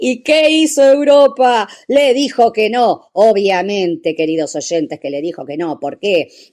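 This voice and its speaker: A woman's fairly high voice, dark and mellow in tone, with very wide pitch swings, a fairly slow pace, and a very clean recording over a silent background. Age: 60s. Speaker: radio host. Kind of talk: radio talk segment.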